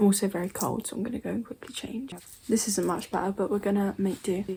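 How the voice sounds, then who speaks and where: A woman speaks very fast at a medium pitch, her intonation fairly even. Her voice is somewhat breathy, with a dark, mellow tone. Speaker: YouTuber reacting to scary videos. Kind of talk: casual reaction commentary.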